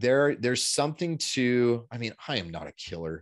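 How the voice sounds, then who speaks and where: The surroundings are quiet. The voice is a man's. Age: 30s. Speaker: men's style coach. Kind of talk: podcast interview.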